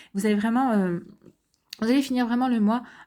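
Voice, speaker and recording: Recorded very cleanly against a silent background, a woman speaks in a dark, mellow tone with fairly even intonation. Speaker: astrology tarot reader. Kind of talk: astrology reading. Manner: fast; halting, many fillers.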